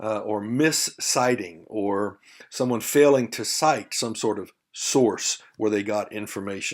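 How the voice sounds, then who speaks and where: A man's fairly slow delivery in a Southern US accent, fairly low in pitch with ordinary pitch variation. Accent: faint Southern drawl, by own account. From Texas. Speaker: university lecturer. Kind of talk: lecture. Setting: recorded video lesson. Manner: conversational, with frequent fillers.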